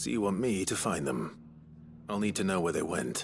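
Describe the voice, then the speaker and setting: In a put-on character voice, the speaker sounds raspy with a calm tone, moderate pace and lively intonation, over clear music in the background. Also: man, very deep, low pitch for a man. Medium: video game. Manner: calm, dry.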